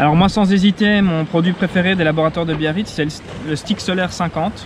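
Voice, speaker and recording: Noticeable background noise sits behind a man with a high voice. He talks at a fairly quick pace with fairly even intonation. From Belgium, south of Brussels. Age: 30s. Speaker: sailor. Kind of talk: testimonial interview. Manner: hesitant, many fillers.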